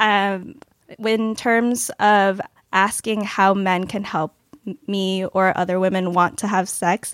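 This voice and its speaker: In a very clean recording with a silent background, an ordinary speaking voice comes through at a fairly slow pace, the sound dry and close with no echo. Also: woman. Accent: American. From Los Angeles. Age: 20s. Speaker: panelist on dating show. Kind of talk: casual chat.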